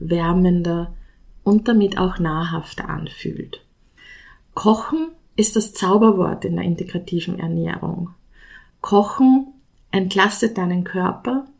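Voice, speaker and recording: A woman with an Austrian accent, somewhat breathy, at a very slow pace with ordinary pitch variation. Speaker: nutrition scientist. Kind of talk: solo podcast talk.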